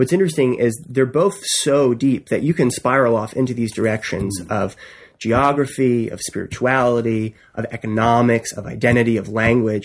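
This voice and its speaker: The man speaks at medium pitch with an American accent. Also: ordinary pitch variation. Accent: East Coast American, shows when speaking fast. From US East Coast. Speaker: writer. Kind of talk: casual chat. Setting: studio.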